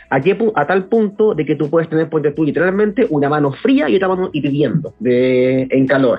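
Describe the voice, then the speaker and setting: Music plays behind a man speaking at a moderate pace with hardly any pauses. His fairly high voice has lively intonation. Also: very even loudness. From Chile, Santiago. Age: 30s. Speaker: mushroom product entrepreneur. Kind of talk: casual interview chat.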